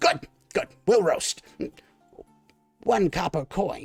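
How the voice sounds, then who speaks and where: A squeaky, raspy put-on character voice at middle pitch and a very slow pace, with faint music in the background. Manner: squawking.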